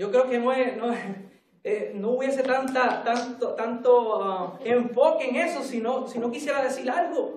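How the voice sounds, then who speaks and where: Audible room echo surrounds a man whose pitch is extremely high. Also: ordinary pitch variation. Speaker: preacher. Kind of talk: sermon. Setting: church.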